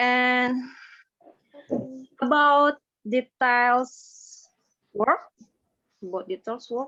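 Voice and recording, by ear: A woman speaks at a very slow pace in a high pitch. Her tone is bright and sharp, with ordinary pitch variation.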